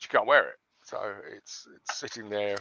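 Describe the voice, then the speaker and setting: A man with a Surrey accent. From London, England. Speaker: online seller. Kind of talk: casual chat.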